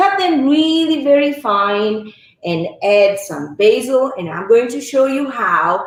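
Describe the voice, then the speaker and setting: A woman with an Italian accent, high-pitched and fairly slow, with audible room echo. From Italy. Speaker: cooking instructor. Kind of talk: cooking demonstration.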